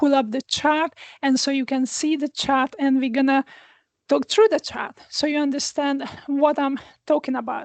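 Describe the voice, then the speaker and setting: Over a quiet background, a woman with a high pitch speaks at a moderate pace with fairly even intonation, the sound dry and close with no echo. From Hungary. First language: Hungarian. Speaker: astrologer. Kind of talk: astrology forecast talk. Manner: hesitant, many fillers. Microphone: new small microphone.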